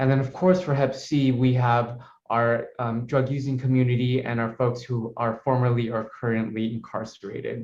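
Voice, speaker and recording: Over audible room echo, a somewhat breathy voice moves at a fairly quick pace with monotone, flat intonation. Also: man. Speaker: public health coordinator. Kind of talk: conference presentation. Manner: fast.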